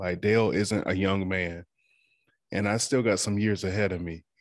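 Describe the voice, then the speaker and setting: Against a quiet background, a man with a fairly low pitch uses a normal speaking voice at a moderate pace. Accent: American. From Eastern Shore of Virginia, US. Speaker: oyster shucker and podcast host. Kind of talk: casual interview.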